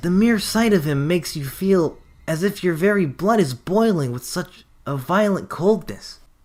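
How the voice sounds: Natural reading voice throughout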